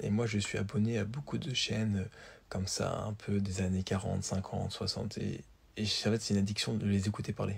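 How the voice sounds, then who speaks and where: Somewhat breathy, this man keeps a fairly low pitch and fairly even intonation at a moderate pace. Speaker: vlogger. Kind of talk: casual vlog. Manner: hesitant, fillers.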